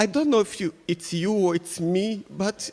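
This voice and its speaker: The speaker has a non-native accent and talks at a fairly slow pace. Noticeable background noise is present. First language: not English. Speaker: retreat participant. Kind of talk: personal question to teacher. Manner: halting.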